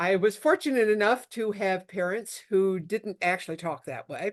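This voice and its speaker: A woman's voice with ordinary pitch variation, in a dry, close sound with no echo against a quiet background. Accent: upstate New York. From upstate New York. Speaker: intellectual property lawyer. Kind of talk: talk to a networking group. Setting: video call.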